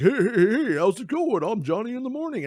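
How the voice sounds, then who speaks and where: A man's high, put-on character voice at a fairly quick pace, with noticeable background noise. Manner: cheesy, overly upbeat.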